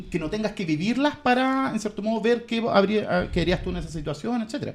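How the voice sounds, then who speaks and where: A man's high voice with a Chilean accent, fairly quick and lively, with hardly any pauses. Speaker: podcast co-host, philosophy teacher. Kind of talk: casual chat.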